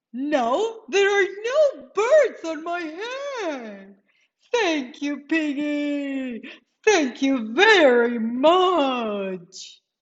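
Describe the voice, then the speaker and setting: Someone uses a put-on character voice at a high pitch and a very slow pace. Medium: read story. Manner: anxious, fretful.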